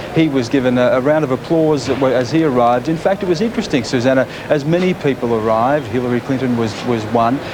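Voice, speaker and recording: A man with an Australian accent talks at a very fast pace with hardly any pauses, using a medium pitch, ordinary pitch variation and very even loudness over noticeable background noise. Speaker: TV news reporter. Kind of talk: live TV cross. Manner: halting, many repetitions.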